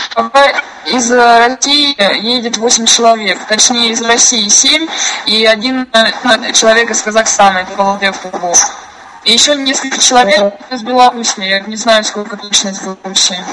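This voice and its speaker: Over noticeable background noise, a woman speaks at a fairly quick pace. Her pitch is fairly high, with ordinary variation. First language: Russian. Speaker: conference call organizer. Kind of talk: casual chat.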